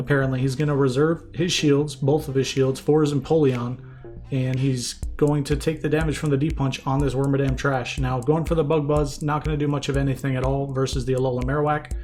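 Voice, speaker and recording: A man's fairly high voice at a fairly quick pace, flat and monotone in intonation, with music in the background. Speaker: Pokémon Go PvP shoutcaster. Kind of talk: esports-style match commentary, game analysis.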